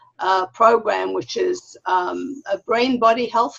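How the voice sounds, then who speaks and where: Very slowly, a woman speaks with a slight South African accent. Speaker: wellness consultant. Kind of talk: interview.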